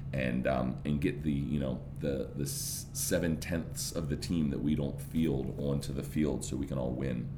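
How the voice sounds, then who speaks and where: A man with a very deep, low pitch speaks in an animated tone. Music plays in the background, and room echo is audible. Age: 30s. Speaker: podcast host. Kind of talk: casual interview.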